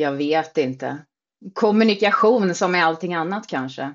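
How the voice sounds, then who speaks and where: Set at a fairly slow pace with lively intonation, this is an unremarkable speaking voice. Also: woman. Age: 40s. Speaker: social media creator on weight-loss surgery. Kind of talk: casual chat.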